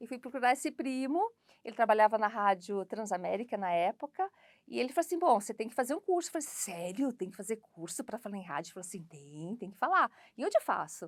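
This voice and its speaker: A woman at a very fast pace, with very wide pitch swings and big swings in loudness, in a dry, close sound with no echo on a very clean recording with a silent background. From São Paulo, Brazil. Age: 50s. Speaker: voice-over announcer and actress. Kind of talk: interview testimony. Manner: conversational, with fillers.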